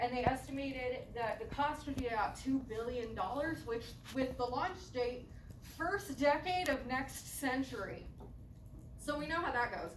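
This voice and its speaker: Audible room echo colors a woman's high-pitched voice. She talks at a moderate pace with ordinary pitch variation. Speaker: student giving seminar talk. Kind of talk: seminar presentation.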